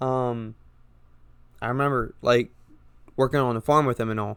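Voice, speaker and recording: With an American accent, a man talks at a medium pitch. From coastal Georgia, US. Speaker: podcaster. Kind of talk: casual personal chat. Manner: hesitant, many fillers.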